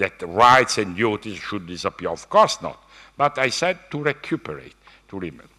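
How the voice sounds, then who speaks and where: A man in an Italian accent speaks with very wide pitch swings. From Italy. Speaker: economics professor. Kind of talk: keynote lecture. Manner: halting.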